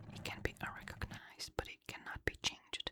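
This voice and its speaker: Whispered speech over noticeable background noise. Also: woman. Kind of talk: ASMR sleep reading from a book. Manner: whispered, soft-spoken.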